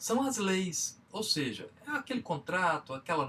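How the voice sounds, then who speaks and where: Speaking in a Minas Gerais accent, a man with a high voice swings his pitch very widely. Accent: Minas Gerais (mineiro). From Minas Gerais, Brazil. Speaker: business trainer. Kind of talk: lecture.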